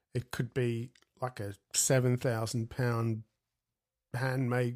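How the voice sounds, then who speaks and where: Speaking in a flat monotone at a fairly slow pace, a man talks at a medium pitch. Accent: Australian. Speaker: jazz guitarist. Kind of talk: interview.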